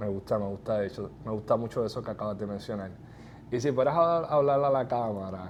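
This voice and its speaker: A man talks at medium pitch and a fairly quick pace. His pitch varies in an ordinary way. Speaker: real estate podcast host. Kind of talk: interview.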